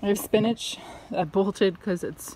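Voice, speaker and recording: The voice is somewhat breathy, with a dark, mellow tone. The sound is dry, with no echo. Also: woman. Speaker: home gardener vlogger. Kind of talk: casual vlog chat. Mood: cheerful, relaxed. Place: garden. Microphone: phone near.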